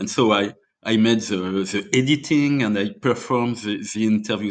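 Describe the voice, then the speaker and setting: A man with a French accent speaks at a moderate pace with ordinary pitch variation against a quiet background. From France, Normandy. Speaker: indie rock musician. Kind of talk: interview storytelling. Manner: halting, many fillers.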